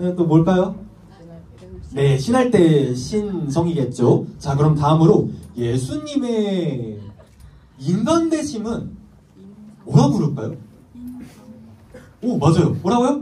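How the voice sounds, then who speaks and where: A man speaks at a high pitch with very wide pitch swings, moving at a very slow pace. Long, frequent pauses break up his speech, and the room echo is audible. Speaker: youth pastor. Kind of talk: sermon. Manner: animated.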